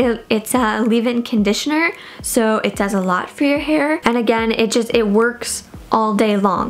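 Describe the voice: There is faint background noise behind a woman with a fairly high pitch. She talks at a moderate pace with ordinary pitch variation.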